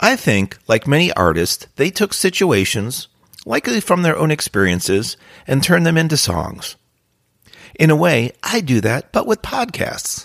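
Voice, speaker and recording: A man's fairly high voice with vocal fry, very wide pitch swings and very even loudness, dry and close with no echo. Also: moderate pace. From New Jersey. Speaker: career coach and podcast host. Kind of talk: podcast monologue.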